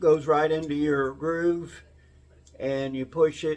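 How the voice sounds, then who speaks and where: Over noticeable background noise, a man talks at a very slow pace. His pitch sits fairly high. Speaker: DIY car builder. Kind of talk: workshop tutorial. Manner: casual, hesitant with fillers.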